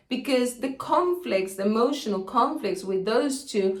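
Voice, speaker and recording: A woman with a Spanish accent, fairly high pitch, lively intonation and a moderate pace, plus audible room echo. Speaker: health educator. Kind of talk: educational video monologue. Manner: casual, with hesitations.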